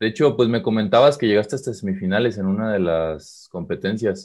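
A man with a Mexican accent speaks at a moderate pace. His pitch sits fairly low, and the background is quiet. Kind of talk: casual chat.

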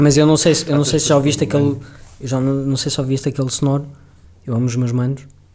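With long, frequent pauses, a man speaks very fast in a fairly high, monotone, flat voice. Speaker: podcast host. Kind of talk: casual chat.

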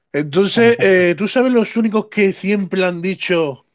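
Speaking at a fairly slow pace, a man comes through. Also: very clean recording, silent background. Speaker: left-wing party representative. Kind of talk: heated debate.

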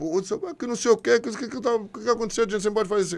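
A man talks at a very fast pace. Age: 50s. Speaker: former footballer. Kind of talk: interview.

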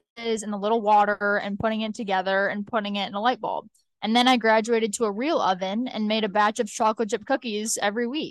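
A woman talks at a fairly quick pace in an ordinary speaking voice. Her intonation stays fairly even. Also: hardly any pauses. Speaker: podcast co-host, social media manager. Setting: holding a handheld microphone.

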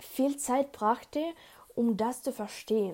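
A woman with a non-native accent speaks very slowly in a dark, mellow tone. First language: not German (speaking German). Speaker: podcast host. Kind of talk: solo podcast monologue. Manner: halting.

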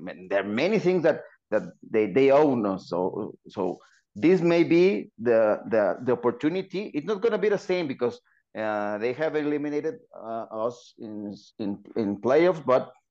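A man with a Spanish accent speaks at a moderate pace in a dark, mellow tone. His pitch swings very widely against a quiet background. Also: medium pitch for a man. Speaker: football podcast co-host. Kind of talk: podcast interview.

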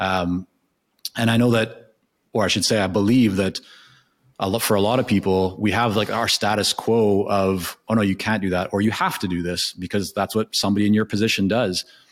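A man's fairly low, monotone, flat voice at a fairly quick pace, in a very clean recording with a silent background. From Canada. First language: Hebrew. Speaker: consulting business founder. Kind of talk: casual interview.

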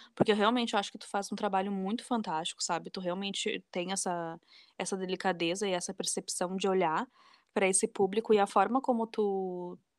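A woman of medium pitch speaks at a fairly quick pace with fairly even intonation. The very clean recording has a silent background and a dry, close sound with no echo. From southern Brazil, Porto Alegre. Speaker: museum educator and social media creator. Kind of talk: casual interview.

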